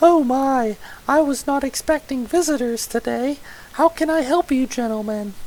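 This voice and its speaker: The speaker uses a high-pitched, put-on character voice at a moderate pace. Light background noise can be heard. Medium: audio drama. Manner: warm, homely.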